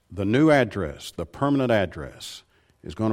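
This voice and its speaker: This man has a Southern US accent and a moderate pace. His pitch varies in an ordinary way. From Tennessee. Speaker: preacher. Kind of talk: sermon. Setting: church.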